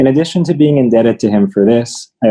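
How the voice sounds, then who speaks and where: Talking fairly quickly with lively intonation, a man has an ordinary speaking voice. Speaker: teacher. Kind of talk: prepared tribute speech.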